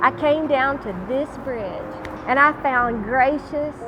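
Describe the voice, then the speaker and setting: With music in the background, a woman talks in a Southern US accent. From Louisiana. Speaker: gospel singer and homeless ministry founder. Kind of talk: testimony; scripted narration.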